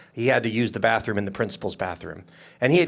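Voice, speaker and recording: Speaking very fast at a medium pitch, a man is heard on a very clean recording with a silent background. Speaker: state legislator. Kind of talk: panel discussion. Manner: loud.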